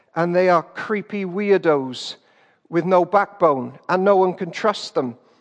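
With a British accent, a man speaks very slowly at a high pitch. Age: 30s. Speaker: pastor. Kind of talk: sermon.

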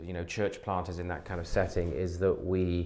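A man with a slight West Country accent speaks at a very deep, low pitch. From southwest England, Wiltshire. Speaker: pastor and theologian. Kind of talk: interview conversation.

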